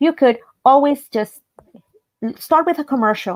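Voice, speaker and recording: With lively intonation, a woman speaks at a moderate pace in a dry, close sound with no echo. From El Salvador, raised in Baltimore County, Maryland. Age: 50s. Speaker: language teacher. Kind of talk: radio interview. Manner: halting, many fillers and repetitions.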